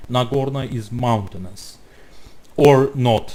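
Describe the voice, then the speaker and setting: A man speaks with a dark, mellow tone that is somewhat breathy. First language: not English. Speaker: YouTuber responding to a video. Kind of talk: reaction commentary. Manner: halting.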